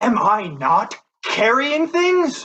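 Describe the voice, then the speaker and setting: Extremely high-pitched and raised to project, a man's put-on character voice swings very widely in pitch. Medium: stage play. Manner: grumbling, cheeky.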